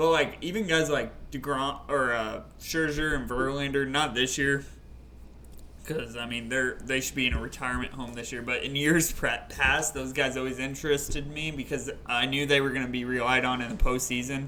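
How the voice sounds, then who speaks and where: A man at a medium pitch speaks at a moderate pace with fairly even intonation, with audible room echo and noticeable background noise. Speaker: fantasy baseball podcast co-host. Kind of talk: casual chat.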